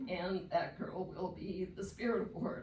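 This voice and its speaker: Heard with audible room echo, a woman speaks at a fairly slow pace with ordinary pitch variation. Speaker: pageant director, public commenter. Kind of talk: public comment at council meeting. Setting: city council meeting.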